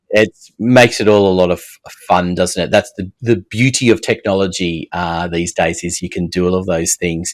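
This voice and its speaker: A man with an Australian accent talks at a moderate pace with hardly any pauses, his very deep, low voice carrying fairly even intonation in a dry, close sound with no echo. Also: big swings in loudness. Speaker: podcast host. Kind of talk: interview podcast.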